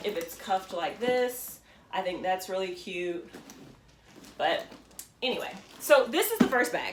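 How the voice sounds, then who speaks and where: A woman speaks at a medium pitch and a moderate pace, with ordinary pitch variation and long, frequent pauses. Audible room echo and noticeable background noise surround her voice. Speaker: fashion vlogger. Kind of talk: casual show-and-tell vlog. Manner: halting, many ums.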